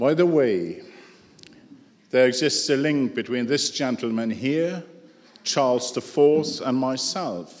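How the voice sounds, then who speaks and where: A man talks at a very slow pace with long, frequent pauses, his medium pitch showing ordinary variation, over noticeable background noise and audible room echo. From Luxembourg. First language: Luxembourgish. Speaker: conference speaker. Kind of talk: conference talk.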